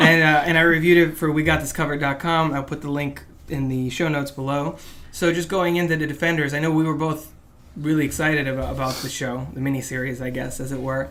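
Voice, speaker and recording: Very fast, monotone, flat speech from a man with a fairly high pitch, amid noticeable background noise and audible room echo. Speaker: podcast host. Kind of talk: casual chat.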